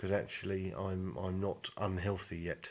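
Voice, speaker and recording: This man has a southern English accent. His pitch is very deep and low. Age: 20s. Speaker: vlogger. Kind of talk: personal video diary. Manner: hesitant, many fillers.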